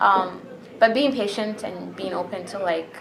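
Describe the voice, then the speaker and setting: Over noticeable background noise and audible room echo, a woman with a slight non-native accent speaks at a medium pitch with ordinary pitch variation. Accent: slight foreign. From Bahrain. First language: Arabic. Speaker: interviewee, immigrant. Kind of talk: interview answers.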